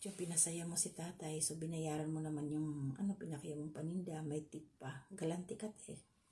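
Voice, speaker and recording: Speaking at a moderate pace, a woman has a very deep, low pitch, a dark, mellow tone, a somewhat breathy quality and fairly even intonation. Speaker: vlogger. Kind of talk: reaction commentary.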